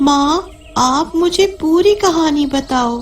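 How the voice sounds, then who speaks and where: A female-sounding put-on character voice at an extremely high pitch over clear background noise. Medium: audio drama.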